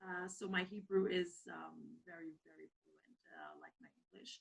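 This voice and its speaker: This woman's voice is somewhat breathy and shows ordinary pitch variation. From Israel. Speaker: Armenian community member. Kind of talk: interview. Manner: halting, many fillers.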